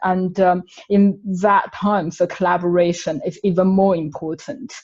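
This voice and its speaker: The speaker has a Chinese accent and sounds somewhat breathy. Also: woman. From China. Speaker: webinar panellist. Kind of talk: webinar panel discussion.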